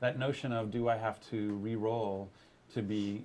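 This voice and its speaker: Fairly low in pitch, a man speaks with monotone, flat intonation. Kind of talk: panel discussion. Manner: fast.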